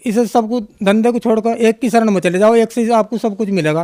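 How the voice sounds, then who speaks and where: Man's voice at an extremely high pitch, fairly even intonation and a moderate pace, recorded dry and close with no echo. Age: 60s. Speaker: devotee giving testimony. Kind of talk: testimony. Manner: halting.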